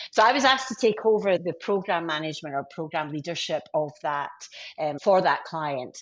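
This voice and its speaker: A woman's very deep, low voice with lively intonation at a moderate pace. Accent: Scottish. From Scotland, Glasgow. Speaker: IT sales leader. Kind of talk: podcast interview.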